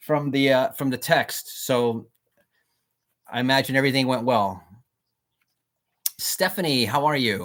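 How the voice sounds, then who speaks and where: A man's medium-pitched voice with ordinary pitch variation, a fairly slow pace and long, frequent pauses. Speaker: radio host. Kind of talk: radio show. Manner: loud.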